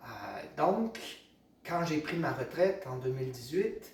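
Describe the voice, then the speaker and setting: A man is speaking with audible room echo. Noticeable background noise sits behind him. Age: 60s. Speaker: massage therapist. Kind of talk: tutorial. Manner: hesitant, many fillers.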